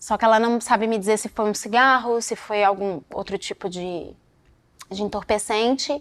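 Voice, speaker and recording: On a very clean recording with a silent background, a woman with a fairly high pitch speaks at a fairly slow pace. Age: 30s. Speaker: dancer. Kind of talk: interview testimony. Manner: halting.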